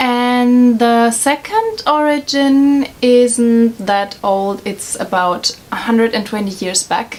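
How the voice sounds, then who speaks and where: Very slow delivery in a German accent, with hardly any pauses, ordinary pitch variation and noticeable background noise. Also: woman. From Germany. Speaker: vlogger. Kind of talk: casual explainer vlog. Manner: hesitant, many fillers.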